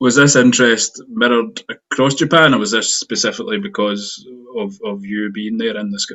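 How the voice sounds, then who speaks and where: Speaking in a Scottish accent, the man's voice sits at a mid-range pitch. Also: ordinary pitch variation, moderate pace. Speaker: podcast host. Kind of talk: interview.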